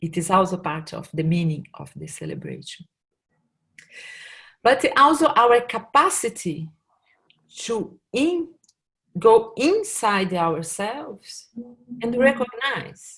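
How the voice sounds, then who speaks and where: In a Portuguese accent, a woman with a fairly high voice speaks very slowly, with very wide pitch swings, big swings in loudness and long, frequent pauses. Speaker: workshop facilitator. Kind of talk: online presentation. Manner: halting.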